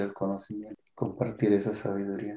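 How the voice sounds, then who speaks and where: Speaking fairly slowly, a man has a fairly low voice with a dark, mellow tone. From Michoacán, Mexico (P'urhépecha community). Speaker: artist and writer. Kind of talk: interview. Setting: online recording.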